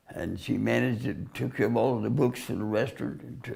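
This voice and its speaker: A very fast-talking man in a space with audible room echo. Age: 90s. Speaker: war veteran and retired pastor. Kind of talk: oral history interview. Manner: halting.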